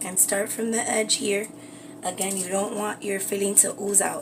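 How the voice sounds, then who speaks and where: A woman talks at a moderate pace and a medium pitch while noticeable background noise fills the recording. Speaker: beauty and craft livestreamer. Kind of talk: live cooking stream. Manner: whispering.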